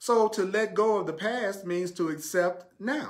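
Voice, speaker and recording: A man talks with a Southern US accent in a high voice. Audible room echo surrounds him. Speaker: spiritual teacher. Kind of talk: sermon. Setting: live stream.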